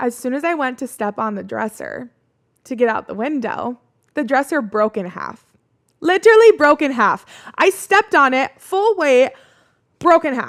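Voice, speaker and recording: With a Midwestern American accent, a woman talks at a moderate pace in a high pitch with very wide pitch swings, an animated tone and long, frequent pauses, in a dry, close sound with no echo. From US Midwest. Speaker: podcast host. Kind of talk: casual storytelling.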